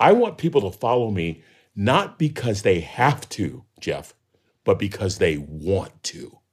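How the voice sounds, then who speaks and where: A man speaks at a fairly slow pace with vocal fry. His pitch makes very wide swings. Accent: American. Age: 60s. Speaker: professor and motivational speaker. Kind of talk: interview conversation.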